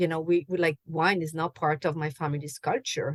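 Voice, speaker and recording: A woman with a French accent speaks at a very deep, low pitch. The recording is very clean, with a silent background and a dry, close sound with no echo. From France. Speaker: chocolate and wine pairing host. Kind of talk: podcast interview.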